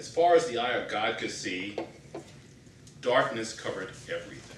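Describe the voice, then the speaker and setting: The man's speech carries audible room echo with light background noise behind it. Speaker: speaker. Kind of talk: prepared speech. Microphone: camera far.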